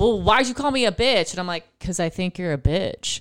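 The speaker uses an ordinary speaking voice and keeps a moderate pace. Behind the voice there is silence, and the recording is very clean. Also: woman. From Buffalo, New York. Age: 30s. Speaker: comedian. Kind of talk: casual chat.

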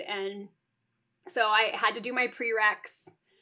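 Her voice is raised and projected. The woman's tone comes across bright and sharp. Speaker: neonatal nurse practitioner and entrepreneur. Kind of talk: casual interview chat. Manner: fast; animated.

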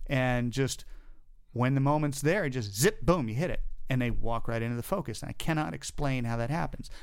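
An unremarkable speaking voice, this man's sits at medium pitch with an American accent. He talks at a fairly quick pace with lively intonation. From US Southeast, North and South Carolina, then Florida. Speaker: camera first assistant. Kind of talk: casual chat.

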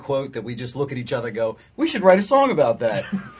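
With an American accent, this speaker sounds somewhat breathy. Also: man. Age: 20s. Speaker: rock band guitarist. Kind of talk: casual interview chat.

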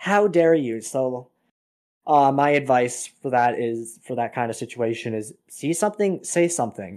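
In an ordinary speaking voice, a man with a Canadian accent talks at a moderate pace with a medium pitch and lively intonation on a very clean recording with a silent background. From Canada. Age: 20s. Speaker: storyteller sharing personal encounters. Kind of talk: casual storytelling interview.

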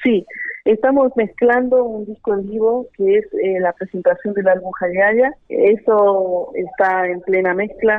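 Her pitch is medium and varies in an ordinary way. The woman talks at a fairly slow pace. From Argentina, Jujuy (Iruya). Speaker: wind instrument musician. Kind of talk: interview.

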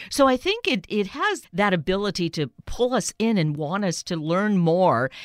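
A woman speaks at a moderate pace and medium pitch with lively intonation. The sound is dry and close with no echo, and there is noticeable background noise. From Canada. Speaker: radio host. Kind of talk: radio interview.

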